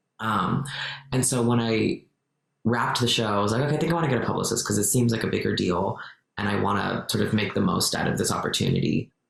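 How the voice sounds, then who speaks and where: Audible room echo surrounds this voice. The pace is very fast, with ordinary pitch variation. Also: man, medium pitch for a man, very even loudness. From Mexico. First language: Spanish. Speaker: actor and activist. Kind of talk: podcast interview.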